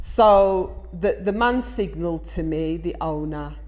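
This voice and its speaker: This is a woman speaking with an English accent. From England. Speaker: vlogger. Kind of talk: personal vlog storytelling; motivational talk. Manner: emphatic.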